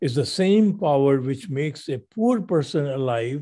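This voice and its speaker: This man's voice is somewhat breathy, with a dark, mellow tone and a fairly high pitch. He talks at a fairly slow pace, and his pitch swings very widely. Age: 80s+. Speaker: radio show host. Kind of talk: casual chat.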